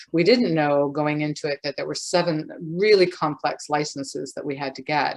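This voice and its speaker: In a Canadian accent, a woman speaks with a very deep, low voice. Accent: non-Scottish, Canadian. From Canada. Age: old. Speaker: gin distiller, business owner. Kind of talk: interview.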